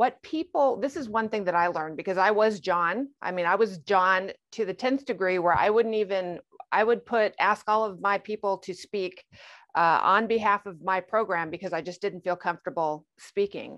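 A plain, everyday voice from a woman at medium pitch, moderate pace and ordinary pitch variation, dry and close with no echo against a quiet background. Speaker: retired federal agent. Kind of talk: interview.

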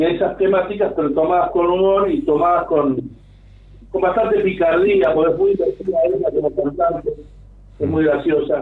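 At a fairly slow pace, a man with a Rioplatense accent talks in a high voice with ordinary pitch variation. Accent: Argentine Rioplatense Spanish. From Argentina, Mar del Plata. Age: 60s. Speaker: pianist and composer. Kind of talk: radio interview.

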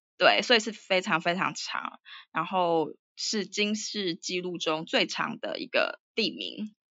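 A woman's very slow, medium-pitched speech in a Taiwanese accent, with vocal fry and ordinary pitch variation. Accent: Taiwanese Mandarin. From Taiwan, Taipei. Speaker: writer and Chinese teacher. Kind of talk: casual interview. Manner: hesitant with many fillers.

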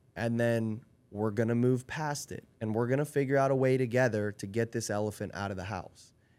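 A man talks at a fairly quick pace in a plain, everyday voice, pitched in the medium range. His intonation stays fairly even, and the recording is very clean with a silent background. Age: 30s. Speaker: podcast guest, friend of host. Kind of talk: casual chat.

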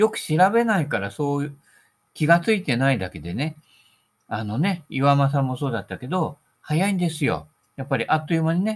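A somewhat breathy man at a fairly quick pace, with very wide pitch swings, on a very clean recording with a silent background. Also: fairly high pitch for a man. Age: 60s. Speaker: solo podcaster / golf hobbyist. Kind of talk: casual monologue. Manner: relaxed, rambling.

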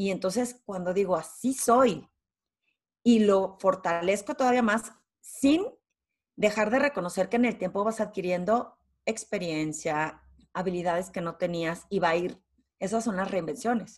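A woman's medium-pitched voice in a northern Mexican accent, at a fairly slow pace with ordinary pitch variation, against a quiet background. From Torreón, northern Mexico. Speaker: executive presence and leadership consultant. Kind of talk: interview.

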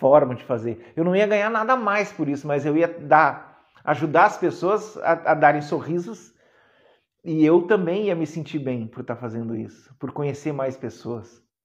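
This is a man with a plain, everyday voice and fairly high pitch. He keeps a moderate pace, with lively intonation and big swings in loudness. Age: 40s. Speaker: therapist and mentor, podcast host. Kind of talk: live-streamed talk to viewers. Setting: online live stream. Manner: warm, conversational.

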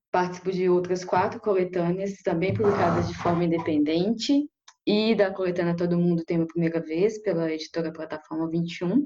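Using a normal speaking voice, a woman talks at a moderate pace with a fairly low pitch and ordinary pitch variation. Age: 20s. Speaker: writer. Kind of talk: casual chat.

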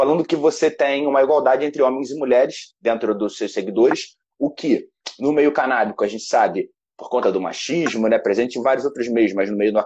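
A man with an ordinary speaking voice, medium in pitch, at a fairly quick pace. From Brazil. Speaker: podcast host. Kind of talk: interview.

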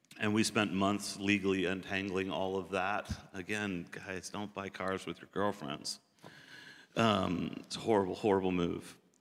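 Talking at a moderate pace with a fairly low pitch and an American accent, the man keeps a monotone, flat intonation while his loudness swings widely. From southeastern US. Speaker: pastor. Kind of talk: testimony.

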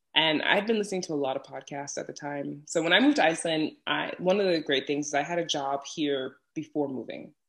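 Moving at a fairly quick pace, a woman talks with an American accent. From New York City, Brooklyn. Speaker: podcaster and travel content creator. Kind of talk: casual interview chat.

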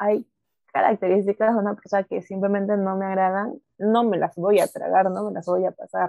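A woman keeps a flat monotone at medium pitch while speaking at a fairly quick pace. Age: 20s. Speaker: student podcast co-host. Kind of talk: casual chat.

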